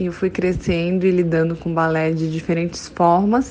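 Her intonation fairly even, a woman speaks in a fairly low pitch. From Brasília, Brazil. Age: 20s. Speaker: dancer. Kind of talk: personal testimony.

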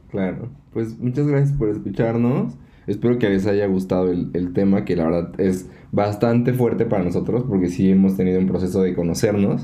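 Audible room echo surrounds a man's dark, mellow, fairly low voice. His loudness stays very even, with ordinary pitch variation. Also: moderate pace. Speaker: podcast co-host. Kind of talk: casual chat; outro.

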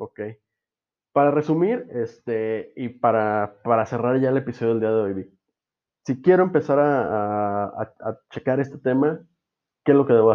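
A man with a Mexican accent speaks at a fairly slow pace. His pitch sits in the medium range and varies in an ordinary way. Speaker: podcast host. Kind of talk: casual chat.

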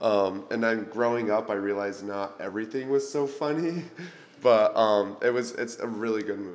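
Heard with audible room echo and noticeable background noise, a man speaks at a medium pitch. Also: ordinary pitch variation, moderate pace. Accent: American. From Arizona. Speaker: college student. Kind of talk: casual chat.

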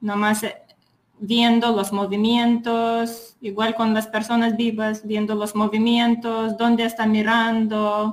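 In a Lithuanian accent, the speaker talks very slowly with a somewhat breathy voice and flat, monotone intonation. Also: woman. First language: Lithuanian (speaking Spanish). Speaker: psychologist. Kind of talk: casual chat. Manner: halting.

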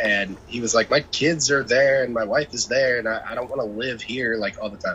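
A man speaks with a normal speaking voice at a medium pitch. His intonation stays fairly even. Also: fairly quick pace. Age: 30s. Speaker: podcast co-host. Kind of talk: casual chat.

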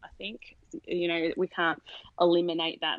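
In an Australian accent, a woman speaks with a fairly low voice, recorded dry and close with no echo. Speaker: sleep consultant and parent coach. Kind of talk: podcast interview.

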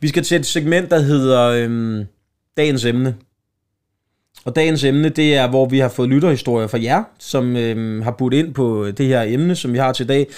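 In a very clean recording with a silent background, a man speaks at a medium pitch and a fairly slow pace with ordinary pitch variation. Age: 30s. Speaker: comedian and podcast host. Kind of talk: casual chat.

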